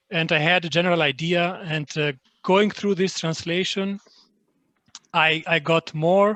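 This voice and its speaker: In an Albanian accent, a man with a high-pitched, bright, sharp voice talks at a fairly slow pace with fairly even intonation, the sound dry and close with no echo. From Greece, born in Albania. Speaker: literary translator. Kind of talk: online panel talk. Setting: online event. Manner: halting, many fillers.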